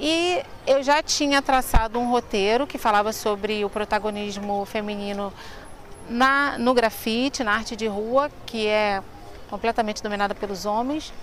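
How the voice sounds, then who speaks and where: In an ordinary speaking voice, a woman talks at a fairly slow pace and fairly high pitch with ordinary pitch variation. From Rio de Janeiro, Brazil (Madureira). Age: 50s. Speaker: tour guide. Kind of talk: interview.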